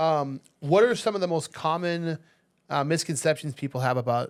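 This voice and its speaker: Using an ordinary speaking voice, a man talks at a moderate pace with an American accent. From Las Vegas, US. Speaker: real estate agent and food influencer. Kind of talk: casual chat. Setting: podcast studio.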